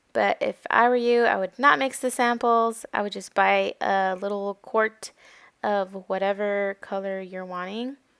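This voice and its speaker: A woman speaks in a plain, everyday voice at a fairly slow pace, with medium pitch and ordinary pitch variation. The very clean recording has a silent background and a dry, close sound with no echo. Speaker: mom lifestyle vlogger. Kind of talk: casual vlog narration.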